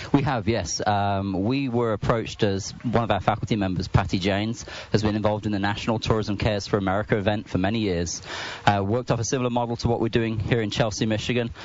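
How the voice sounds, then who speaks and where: Over noticeable background noise, a man with a fairly low voice and a slight English accent talks at a very fast pace with fairly even intonation. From England. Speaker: university department chair. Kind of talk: interview.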